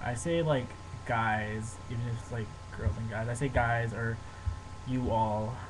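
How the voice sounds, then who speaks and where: With noticeable background noise behind him, a man speaks fairly slowly at a medium pitch, with fairly even intonation and long, frequent pauses. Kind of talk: casual talk to camera, accent tag word list. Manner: casual, relaxed, bored.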